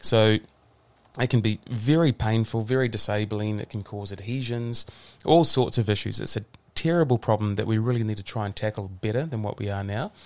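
A man with a New Zealand accent speaks at a fairly quick pace and a fairly low pitch, with ordinary pitch variation. The recording is very clean, with a silent background. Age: 40s. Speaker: physiotherapist. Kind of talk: casual interview.

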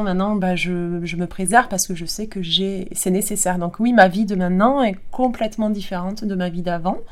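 The speaker uses an ordinary speaking voice at a moderate pace with fairly even intonation. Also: woman. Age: 40s. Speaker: kinesiologist. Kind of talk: interview testimony.

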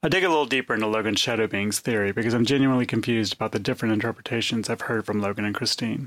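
A man at a very fast pace with ordinary pitch variation and very even loudness, dry, close sound with no echo. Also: medium pitch for a man. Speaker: podcast host and journalist. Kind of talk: scripted narration with interviews.

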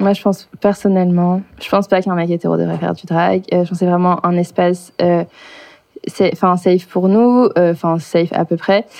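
Her pitch sits fairly low as a woman talks at a moderate pace. The intonation stays monotone and flat. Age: 20s. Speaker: drag performer. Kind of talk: casual chat.

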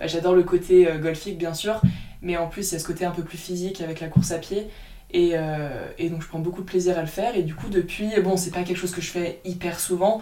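Over music in the background and audible room echo, a woman speaks at a fairly quick pace and fairly low pitch with monotone, flat intonation. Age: 20s. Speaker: golfer and speed golfer. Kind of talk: interview. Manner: hesitant, many fillers.

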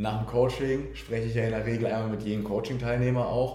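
Flat, monotone male delivery, dark and mellow, somewhat breathy, with audible room echo. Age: 20s. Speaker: team member of a coaching business. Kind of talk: casual interview.

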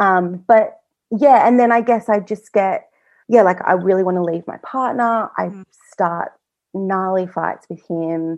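A woman at a fairly slow pace, medium pitch, ordinary pitch variation, a normal speaking voice. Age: 20s. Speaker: guest sharing personal experience with PMDD. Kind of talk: interview testimony.

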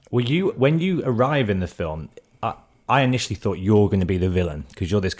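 A man with a British accent speaks at a fairly quick pace and a fairly low pitch. His intonation is lively, and the recording is very clean with a silent background. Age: 30s. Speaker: podcast host and DJ. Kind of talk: casual interview chat.

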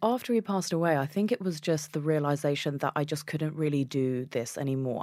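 A woman with a British accent, her pitch very deep and low, speaking at a fairly quick pace on a very clean recording with a silent background. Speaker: journalist and weightlifter. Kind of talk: interview chat.

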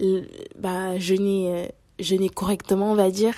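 A woman talks at a very slow pace in a medium pitch. Her tone is dark and mellow, and her intonation is monotone and flat. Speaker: podcaster. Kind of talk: personal monologue. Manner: halting.

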